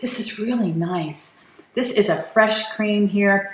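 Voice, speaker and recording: In a space with audible room echo, a woman talks at a medium pitch and a very slow pace. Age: 60s. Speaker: skin care video creator. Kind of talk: product review. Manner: halting, repeated false starts.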